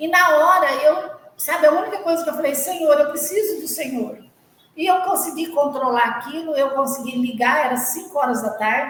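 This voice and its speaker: A woman's high voice with ordinary pitch variation at a moderate pace, with audible room echo. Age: 60s. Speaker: charity volunteer. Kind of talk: testimony.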